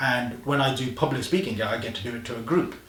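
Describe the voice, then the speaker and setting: Medium pitch from a man, plus audible room echo and noticeable background noise. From Coventry, English Midlands. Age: 40s. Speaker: social media specialist. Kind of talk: casual interview chat.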